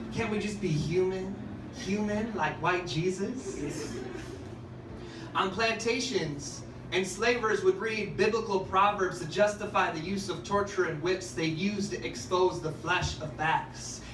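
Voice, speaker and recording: Noticeable background noise sits behind the voice. A man talks at a high pitch and a fairly slow pace. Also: ordinary pitch variation. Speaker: spoken word poet. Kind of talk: spoken word poetry performance. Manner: sardonic, passionate, pointed.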